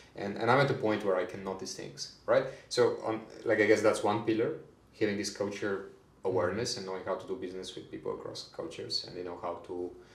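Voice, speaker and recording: A man talks at a very fast pace with big swings in loudness. There is audible echo from the room. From Bulgaria. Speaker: HR manager. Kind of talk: podcast interview. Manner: hesitant, many fillers and repeats.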